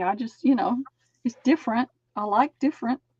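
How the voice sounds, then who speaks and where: In a Southern US accent, a woman with a high pitch races along at a very fast pace, recorded with a dry, close sound and no echo. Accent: Southern US (Georgia). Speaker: crafter on live stream. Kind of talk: casual chat.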